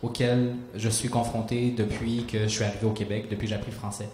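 There is audible room echo around a man speaking at a medium pitch in a slightly mellow tone.

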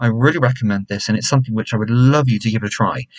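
A somewhat breathy man with an English accent at a very fast pace, over a quiet background. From England. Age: 20s. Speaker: YouTuber, hair care reviewer. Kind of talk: product review vlog. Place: home room. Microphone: webcam.

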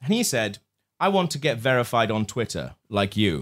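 A man with a British accent speaks with vocal fry and very wide pitch swings. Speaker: comedy podcast host. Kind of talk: live comedy show banter. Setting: pub stage with live audience. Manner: animated.

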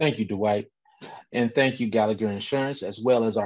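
Over a quiet background, a man with a plain, everyday voice speaks at a fairly low pitch with fairly even intonation. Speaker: panel moderator. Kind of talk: moderated panel discussion. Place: home room. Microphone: video call.

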